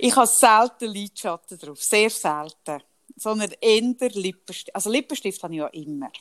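A woman with a fairly high pitch talks at a moderate pace in a normal speaking voice, her intonation lively and her loudness swinging widely, captured in a dry, close sound with no echo. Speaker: podcast co-host. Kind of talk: casual chat.

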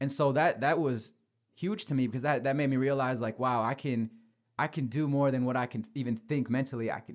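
Over a very clean recording with a silent background, a man talks at a fairly quick pace and medium pitch with fairly even intonation. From Michigan, US. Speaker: sports journalist and podcaster. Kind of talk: casual interview.

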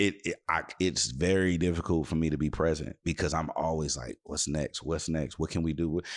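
A man's very deep, low voice with vocal fry and an American accent, moderate in pace with hardly any pauses and fairly even intonation, in a dry, close sound with no echo. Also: very clean recording, silent background. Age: 30s. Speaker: radio host and DJ. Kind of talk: casual interview chat.

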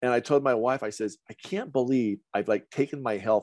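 A man speaks at a moderate pace with a medium pitch, a normal speaking voice. The background is quiet and the sound is dry and close with no echo. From central Idaho. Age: 60s. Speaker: colon hydrotherapist. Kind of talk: casual chat.

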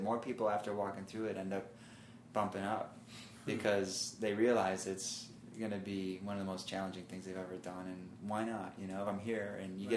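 Noticeable background noise runs under this recording. A man speaks at a fairly quick pace with a fairly low pitch. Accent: American. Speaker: marathon runner. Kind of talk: casual chat.

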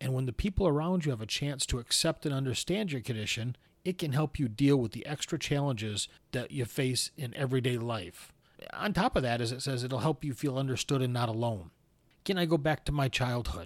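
A man with an American accent and a plain, everyday voice, medium pitch, fairly quick pace, in a very clean recording with a silent background and a dry, close sound with no echo. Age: 50s. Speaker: podcast host living with spondyloarthritis. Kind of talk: solo podcast monologue.

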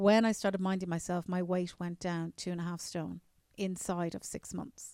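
A woman with a Dublin accent speaks at a moderate pace with a fairly low pitch, a dark, mellow tone, and monotone, flat intonation. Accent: Dublin Irish. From Ireland, Newcastle near Dublin. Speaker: journalist. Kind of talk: interview. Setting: convention center.

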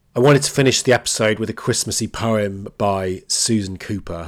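In a very clean recording with a silent background, a man with a British accent speaks at a fairly low pitch and a moderate pace, with ordinary pitch variation. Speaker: podcast host. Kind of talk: solo educational talk.

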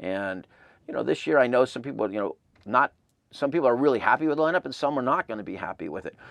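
Against a quiet background, a man with an American accent and a medium pitch talks at a very fast pace with lively intonation, vocal fry and big swings in loudness, the sound dry and close with no echo. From Southern California, Claremont. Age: 50s. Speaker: concert tour founder and music promoter. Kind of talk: interview. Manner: halting, many false starts.

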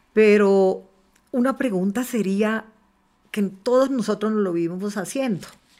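Her medium-pitched voice has a dark, mellow tone. The woman speaks at a fairly slow pace with ordinary pitch variation. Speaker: politician, congresswoman. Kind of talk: panel conversation.

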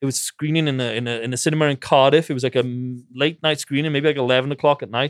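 Speaking very fast in a Welsh accent, a man keeps a medium pitch and fairly even intonation. The sound is dry and close, without echo. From Wales. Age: 40s. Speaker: film director. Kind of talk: casual interview. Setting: in-person recording in an office.

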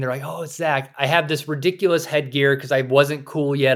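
An American-accented man with an unremarkable speaking voice, fairly high in pitch, with fairly even intonation. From US South, rural South Carolina. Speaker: author and former AI expert turned hunter. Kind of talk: interview. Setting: remote recording.

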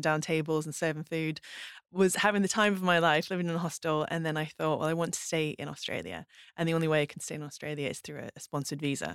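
A woman's very deep, low voice at a very fast pace, with fairly even intonation on a very clean recording with a silent background. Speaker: baker and cook. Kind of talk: casual chat.

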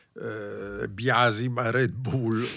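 On a very clean recording with a silent background, a man with a medium pitch speaks in a bright, sharp tone with ordinary pitch variation. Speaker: motorsport journalist and podcast host. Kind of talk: casual chat about Formula 1.

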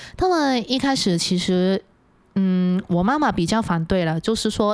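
A woman talks at a medium pitch in a plain, everyday voice. The recording is very clean, with a silent background. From Hong Kong. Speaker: illustrator. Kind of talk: casual chat. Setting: studio.

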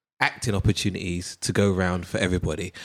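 In a British accent, a man speaks with a very deep, low pitch. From Britain. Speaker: podcast presenter. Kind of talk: casual chat.

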